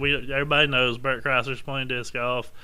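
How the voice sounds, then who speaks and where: A man's normal speaking voice, fairly high in pitch, at a fairly quick pace. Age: 40s. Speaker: disc golf podcast co-host. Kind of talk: casual chat.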